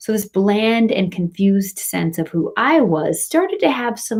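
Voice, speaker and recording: With an American accent, a woman at a medium pitch speaks at a moderate pace in a somewhat breathy voice, in a very clean recording with a silent background. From US Midwest, Michigan. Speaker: professor. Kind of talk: welcome address to students.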